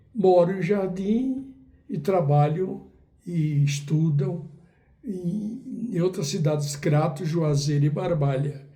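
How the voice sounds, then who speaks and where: A man with a high pitch and a dark, mellow tone, very slow pace, lively intonation, audible room echo. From Brazil, Northeast (Ceará, Cariri region). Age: 80s+. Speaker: writer and poet. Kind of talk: interview, life story. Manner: halting, with fillers.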